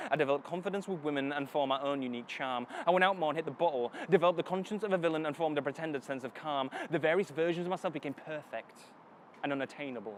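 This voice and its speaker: Speaking very fast, a man lets his pitch vary in an ordinary way. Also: fairly high pitch for a man. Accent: Northern English. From Northern England. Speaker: spoken word poet. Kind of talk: spoken word poetry performance. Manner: dramatic.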